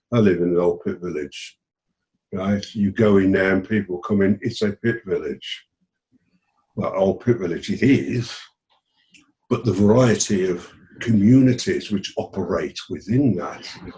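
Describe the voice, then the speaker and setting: A man with a fairly low pitch and a dark, mellow, somewhat breathy tone speaks with ordinary pitch variation and long, frequent pauses. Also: fairly slow pace. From South Wales (Rhondda Valley). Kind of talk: panel discussion.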